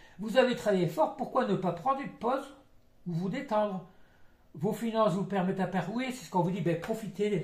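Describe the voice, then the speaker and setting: A man with lively intonation at a fairly quick pace, in audible room echo. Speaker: psychic tarot reader. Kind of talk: tarot card reading. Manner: fast; halting.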